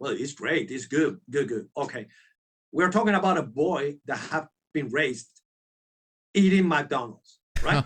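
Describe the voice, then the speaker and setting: With a Spanish accent, a man speaks in a lively intonation and leaves long, frequent pauses. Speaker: sculptor and concept artist. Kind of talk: casual interview chat. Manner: halting; animated.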